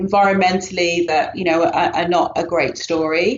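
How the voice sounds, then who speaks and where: Someone with a British accent speaks at a moderate pace with fairly even intonation. Noticeable background noise runs under the voice. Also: woman. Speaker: yoga teacher. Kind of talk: podcast interview answer.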